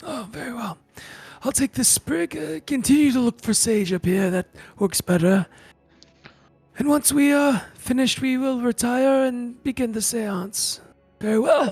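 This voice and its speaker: Over faint background music, a man does a put-on character voice at an extremely high pitch, keeping a moderate pace with long, frequent pauses. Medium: actual play. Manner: curt, formal, dismissive.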